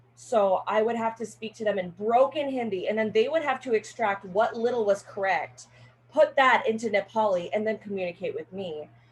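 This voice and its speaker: Somewhat breathy, a woman with an American accent speaks at a fairly high pitch with lively intonation. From Northern California. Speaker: college student. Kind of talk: class speech. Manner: casual, filler-heavy.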